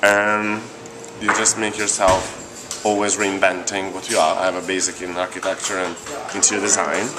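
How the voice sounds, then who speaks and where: There is music in the background and audible room echo. A man speaks at a fairly low pitch and a moderate pace in a monotone, flat intonation. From Italy. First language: Italian. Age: 30s. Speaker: gallery director. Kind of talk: interview.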